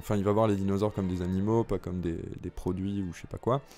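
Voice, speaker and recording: Over music in the background, a man talks at a fairly low pitch with fairly even intonation. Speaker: movie news youtuber. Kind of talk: casual commentary reading an article.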